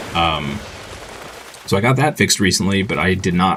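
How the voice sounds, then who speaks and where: Very deep, low-pitched male voice with an American accent and lively intonation, music in the background. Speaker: video game streamer. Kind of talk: livestream chat with viewers. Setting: livestream. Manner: casual with frequent fillers.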